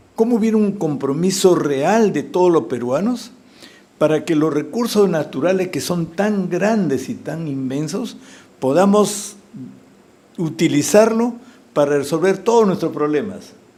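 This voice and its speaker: With lively intonation and a high pitch, a man talks at a fairly slow pace through noticeable background noise and audible room echo. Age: 70s. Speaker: presidential candidate, engineer. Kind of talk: political interview. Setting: TV studio.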